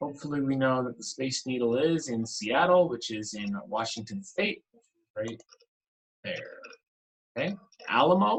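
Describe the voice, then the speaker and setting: Speaking at a moderate pace with lively intonation, a man with a medium-pitched, somewhat breathy voice leaves long, frequent pauses. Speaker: teacher. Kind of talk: online class lesson. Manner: casual, filler-heavy.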